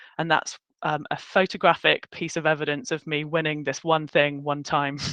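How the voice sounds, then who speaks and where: Over a quiet background, a woman with a British accent talks at a very deep, low pitch, the sound dry and close with no echo. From United Kingdom (military family, lived in many countries). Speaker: workshop host, recruiter. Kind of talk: online workshop presentation. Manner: casual, chatty.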